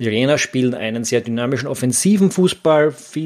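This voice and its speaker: A man talks at a moderate pace with a medium pitch. The recording is very clean, with a silent background. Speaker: football podcast host. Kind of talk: solo podcast commentary. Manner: hesitant, many fillers.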